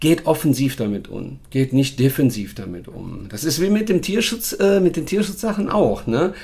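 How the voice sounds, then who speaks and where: Noticeable background noise behind a man whose pitch swings very widely. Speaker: dog trainer and podcast host. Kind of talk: casual chat. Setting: recorded on location in Portugal.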